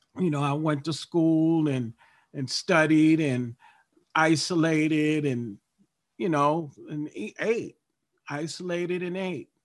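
A man with an American accent speaks at a very slow pace. His pitch is fairly high, with ordinary variation. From Baltimore, Maryland, US. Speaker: recovery group member sharing. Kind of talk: testimony. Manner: halting, many fillers.

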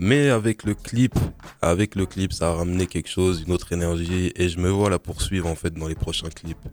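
This man's pitch is very deep and low. He speaks at a moderate pace with ordinary pitch variation. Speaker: rapper. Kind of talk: casual interview.

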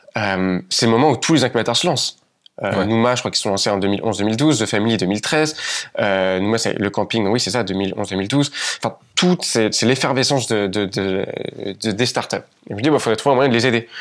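In a normal speaking voice, a man talks at a moderate pace with a medium pitch and ordinary pitch variation. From France, Paris region countryside. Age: 20s. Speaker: entrepreneur. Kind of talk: casual interview chat.

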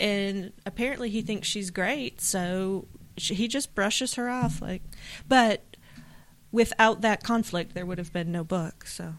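A woman has an unremarkable speaking voice at medium pitch, varying in an ordinary way. She talks at a fairly slow pace in a very clean recording with a silent background. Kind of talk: casual chat.

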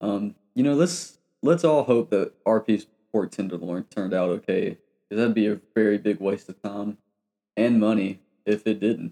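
A man with an American accent speaks at a moderate pace, his fairly low voice dark and mellow with lively intonation. The sound is dry and close with no echo. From US South, Georgia. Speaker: podcast co-host. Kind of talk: casual chat.

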